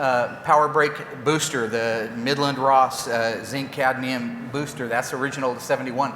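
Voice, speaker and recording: Moderate pace, audible room echo and noticeable background noise. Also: man. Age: 50s. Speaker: car builder. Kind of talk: press conference. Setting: stage with audience. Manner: animated.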